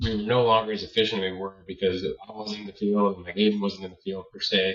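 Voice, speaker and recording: Here is a man with a plain, everyday voice, fairly low in pitch. He keeps a fairly quick pace and fairly even intonation. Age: 20s. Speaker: landscaping business owner. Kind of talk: interview. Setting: podcast.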